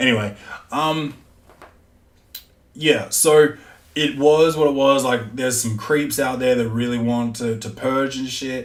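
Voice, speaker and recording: With audible room echo, a man speaks in fairly even intonation, leaving long, frequent pauses. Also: medium pitch for a man, fairly slow pace. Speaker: podcast host. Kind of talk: casual monologue.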